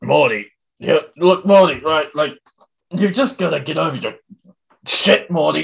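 Using a put-on character voice, a man speaks gruffly at a high pitch and a moderate pace, with long, frequent pauses. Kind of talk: sarcastic, dismissive.

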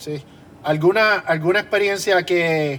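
High pitch for a man, with a Puerto Rican accent and fairly even intonation. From Puerto Rico. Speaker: podcast host and drummer. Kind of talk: interview.

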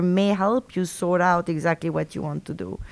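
On a very clean recording with a silent background, a woman speaks at a moderate pace with a French accent. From Argentina and France. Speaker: university professor. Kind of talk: interview, casual conversational. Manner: halting, many fillers and restarts.

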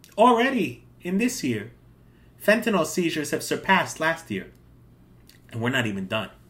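A man speaks at a moderate pace with long, frequent pauses and vocal fry. His pitch is fairly high and swings very widely. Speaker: podcast host. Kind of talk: casual political talk show monologue and interview. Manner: opinionated, talkative.

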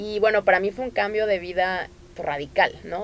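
A woman speaks at a fairly quick pace with vocal fry. Her pitch sits in the medium range. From Tamaulipas, Mexico. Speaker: NGO coordinator. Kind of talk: interview.

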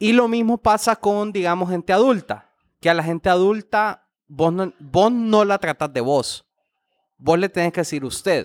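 A man with a Honduran accent speaks at a fairly slow pace in a high pitch with ordinary pitch variation, in a very clean recording with a silent background and a dry, close sound with no echo. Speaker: podcast host. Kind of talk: casual chat.

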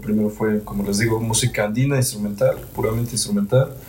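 Against noticeable background noise, a man speaks at a moderate pace in a fairly low pitch with fairly even intonation. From Mexico, Cholula. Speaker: andean folk musician. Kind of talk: casual interview chat.

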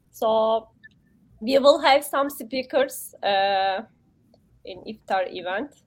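In a Turkish accent, a woman with a fairly high pitch speaks at a very slow pace with long, frequent pauses. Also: big swings in loudness. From Turkey. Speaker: human rights commission member. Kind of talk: casual interview. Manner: halting, hesitant.

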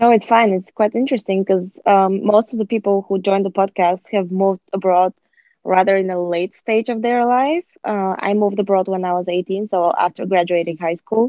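Speaking at a fairly quick pace with a Bulgarian accent, a woman keeps a medium pitch and fairly even intonation. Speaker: podcast host. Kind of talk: casual interview. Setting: remote call. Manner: hesitant, many fillers.

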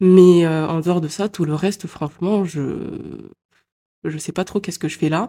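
This woman has a fairly low pitch and fairly even intonation. She talks at a fairly slow pace. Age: 20s. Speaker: podcaster. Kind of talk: personal monologue. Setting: home recording at computer. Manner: spontaneous, hesitant.

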